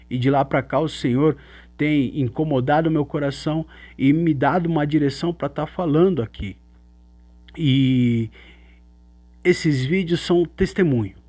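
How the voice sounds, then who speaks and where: A man talks at a fairly slow pace with long, frequent pauses and ordinary pitch variation. His tone is dark and mellow, his pitch fairly high. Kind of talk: religious teaching monologue. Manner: halting, with fillers.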